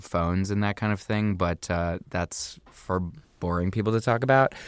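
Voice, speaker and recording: A man with an American accent and a fairly low pitch talks at a moderate pace with ordinary pitch variation. The recording is very clean, with a silent background. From US Midwest, small-town Indiana. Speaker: actor and comedian. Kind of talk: casual interview.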